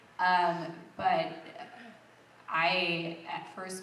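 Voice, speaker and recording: A woman's voice with audible room echo and noticeable background noise. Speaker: voice actress. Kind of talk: convention panel talk. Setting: stage with audience.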